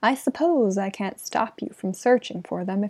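The pitch moves in an ordinary way. The voice is a natural reading voice.

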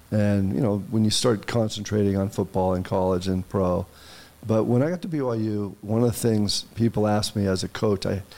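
Here a man with an American accent talks at a moderate pace with ordinary pitch variation. His pitch is fairly low and his tone dark and mellow. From US West Coast. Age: 60s. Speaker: university athletic director, former football player. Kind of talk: interview. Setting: studio.

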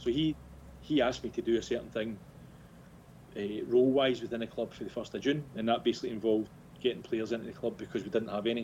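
A man with a Scottish accent talks at a very fast pace, broken by long, frequent pauses. His pitch sits at a medium level and his intonation stays fairly even. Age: 40s. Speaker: football club director. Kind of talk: casual interview.

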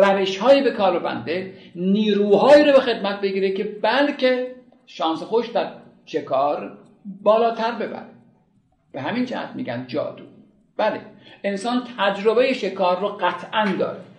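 A man's high voice with lively intonation at a moderate pace, with long, frequent pauses and audible room echo. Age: 60s. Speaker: art history lecturer. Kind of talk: lecture.

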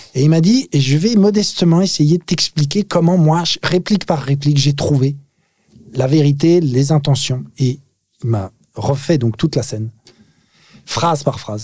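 A man's somewhat breathy, dark and mellow voice, fairly high in pitch, with lively intonation, a fairly slow pace and long, frequent pauses. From France, Paris suburbs (Nanterre). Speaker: actor. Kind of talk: casual chat. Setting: studio.

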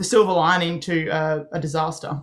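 A woman with an Australian accent speaks at a fairly low pitch with fairly even intonation. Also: very clean recording, silent background. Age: 20s. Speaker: ecotour company founder. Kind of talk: interview.

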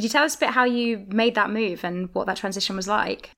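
A woman speaks at a fairly quick pace in a normal speaking voice, with ordinary pitch variation. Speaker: podcast host. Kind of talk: interview.

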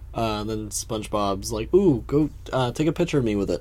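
Using a plain, everyday voice, a man speaks at a fairly low pitch and a moderate pace with lively intonation. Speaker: podcast co-host. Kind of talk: casual chat, podcast recap. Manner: playful, joking.

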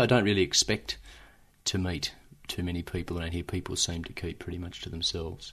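Bright and sharp in tone, this voice moves at a fairly quick pace with an Australian accent and ordinary pitch variation. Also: man. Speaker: lawyer. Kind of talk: documentary interview.

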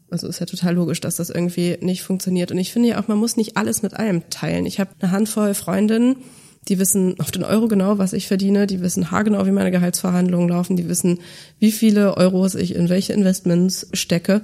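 At a very fast pace, a woman speaks with a dark, mellow tone, somewhat breathy and at a medium pitch, her intonation fairly even. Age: 30s. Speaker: finance educator, former journalist and podcast host. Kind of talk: interview conversation. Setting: studio, in person.

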